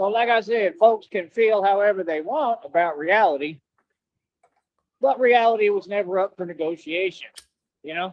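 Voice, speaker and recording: Using a high pitch and ordinary pitch variation, a man speaks with a Texan accent and takes long, frequent pauses. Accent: Texan drawl. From Texas. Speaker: streamer. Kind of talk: casual chat.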